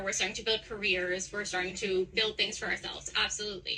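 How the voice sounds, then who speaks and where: A woman talks in a medium pitch, with noticeable background noise present. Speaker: street debater, works in motorsports. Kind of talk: heated debate. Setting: outdoors on a street.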